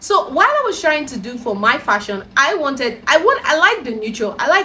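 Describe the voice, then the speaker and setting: A woman speaks with a Nigerian accent. Her pace is fairly quick. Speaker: lifestyle vlogger. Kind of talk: casual advice talk to camera. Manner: soft-spoken.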